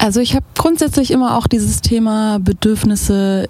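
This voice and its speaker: A woman's medium-pitched voice is heard with noticeable noise in the background. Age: 30s. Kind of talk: casual interview chat.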